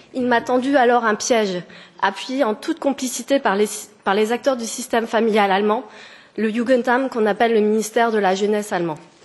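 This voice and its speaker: Fairly high in pitch, a woman talks at a fairly quick pace. Her intonation stays fairly even. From France, near German border. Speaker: petitioner. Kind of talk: formal testimony. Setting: parliamentary committee hearing. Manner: halting.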